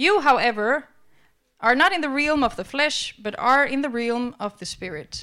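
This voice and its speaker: In a very clean recording with a silent background, a woman with a high, bright, sharp tone uses a raised, projected voice at a fairly slow pace, with lively intonation and big swings in loudness. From Albania. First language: Albanian (speaking Danish). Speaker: preacher. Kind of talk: sermon.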